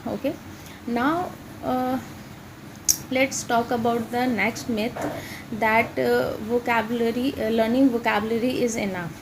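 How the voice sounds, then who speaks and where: A woman talks at a fairly slow pace with an Indian accent. Her pitch is fairly high, and background noise is noticeable. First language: Hindi. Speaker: English teacher. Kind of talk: tutorial. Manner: halting, many fillers.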